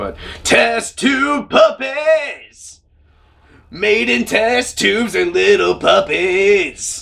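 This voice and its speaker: A loud, gravelly, high-pitched put-on character voice from a man, at a very slow pace. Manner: rock-star styled.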